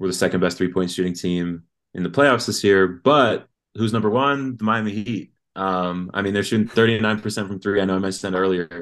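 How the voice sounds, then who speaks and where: Speaking with an American accent and fairly even intonation, this is a normal speaking voice. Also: man, fairly low pitch for a man, fairly quick pace. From Colorado, US. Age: 20s. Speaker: sports fan guest. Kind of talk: casual chat.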